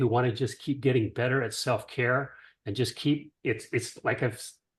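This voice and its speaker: Against a quiet background, a man speaks in a medium pitch, somewhat breathy. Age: 70s. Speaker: caller giving a product testimonial. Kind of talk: testimony. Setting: group call.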